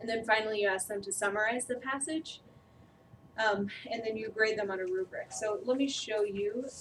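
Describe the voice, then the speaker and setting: Soft-spoken, a woman with a fairly high pitch talks at a moderate pace with fairly even intonation. Noticeable background noise is present. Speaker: trainer. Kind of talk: training presentation. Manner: hesitant, many fillers.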